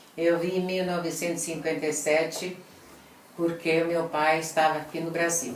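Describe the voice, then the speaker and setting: Over noticeable background noise and audible room echo, a woman with a fairly low pitch speaks at a moderate pace in a monotone, flat intonation. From Italy. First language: Italian (speaking Portuguese). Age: 70s. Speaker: Italian immigrant interviewee. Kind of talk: interview. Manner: halting.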